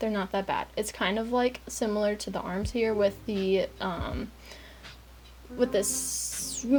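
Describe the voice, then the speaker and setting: Behind a woman's fairly slow speech there is noticeable background noise. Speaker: art tutorial youtuber. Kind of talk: tutorial. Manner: casual, hesitant with fillers.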